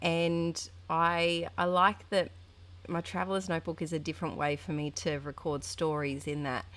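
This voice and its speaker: On a very clean recording with a silent background, a woman with an Australian accent speaks at a moderate pace with very wide pitch swings. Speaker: art journaling youtuber. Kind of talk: casual chat tutorial. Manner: chatty, hesitant with fillers.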